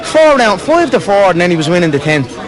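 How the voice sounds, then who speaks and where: Over crowd noise, a man with a strong Irish accent speaks at a high pitch, his voice making very wide pitch swings. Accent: thick Irish. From Ireland. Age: 20s. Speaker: fighter. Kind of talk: post-fight interview answer.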